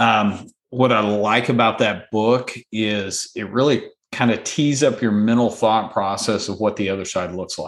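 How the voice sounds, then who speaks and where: A man speaks at a fairly slow pace in a fairly low pitch, with an ordinary speaking voice. His intonation stays fairly even. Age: 40s. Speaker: former business owner and CEO. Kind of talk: interview.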